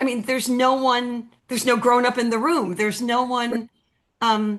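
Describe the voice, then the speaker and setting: A high-pitched woman at a moderate pace, with fairly even intonation. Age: 60s. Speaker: audience member asking a question. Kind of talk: Q&A at an online talk. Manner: halting.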